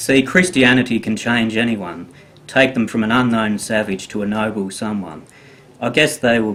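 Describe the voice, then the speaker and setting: At a moderate pace, a man talks in an unremarkable speaking voice with a fairly low pitch and ordinary pitch variation. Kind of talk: poetry reading.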